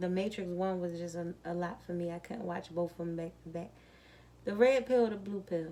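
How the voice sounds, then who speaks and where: Soft-spoken and calm, a woman talks at a fairly quick pace with a dark, mellow tone, fairly low pitch and fairly even intonation. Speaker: tarot card reader. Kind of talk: tarot reading.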